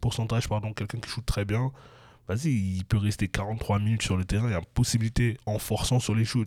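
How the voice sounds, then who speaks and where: Over a very clean recording with a silent background, a normal speaking voice carries fairly even intonation. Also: man, fairly low pitch for a man, fairly quick pace. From Europe. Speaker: basketball podcast host. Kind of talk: casual chat.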